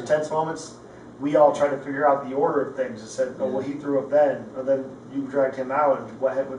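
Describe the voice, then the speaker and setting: Very fast speech in a monotone, flat intonation over noticeable background noise. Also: man, fairly high pitch for a man. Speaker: Marine veteran. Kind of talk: conversation.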